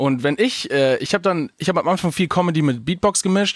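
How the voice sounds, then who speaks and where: A man talks very fast with lively intonation. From Bavaria, Augsburg. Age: 20s. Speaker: stand-up comedian. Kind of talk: casual chat.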